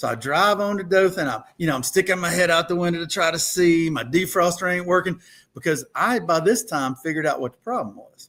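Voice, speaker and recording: Bright and sharp, a man's high voice comes through with an Alabama accent. He speaks at a fairly quick pace. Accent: Southern US (Alabama). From US South, rural Alabama (Thomasville). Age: 60s. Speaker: political candidate, lawyer. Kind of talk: interview. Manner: casual storytelling.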